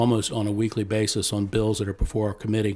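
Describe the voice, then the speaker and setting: Over a very clean recording with a silent background, a man with a fairly low pitch and dark, mellow tone talks very fast in monotone, flat intonation. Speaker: political candidate. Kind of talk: candidate forum statement.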